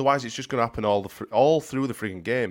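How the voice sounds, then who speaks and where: Speaking very fast with a Yorkshire accent, a man uses a medium pitch and lively intonation in a very clean recording with a silent background. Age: 30s. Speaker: football podcast co-host. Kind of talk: casual chat.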